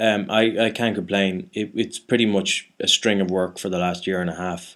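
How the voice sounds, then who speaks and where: A man with a Dublin accent talks at a moderate pace in a fairly low pitch, with hardly any pauses. The recording is very clean, with a silent background. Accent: Irish (Dublin). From Ireland. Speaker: actor. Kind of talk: casual chat. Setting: studio. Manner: halting, many false starts.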